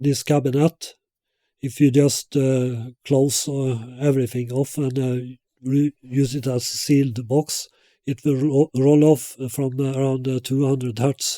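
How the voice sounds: At a slow pace, a man speaks with a medium pitch, a dark, mellow tone and little pitch movement.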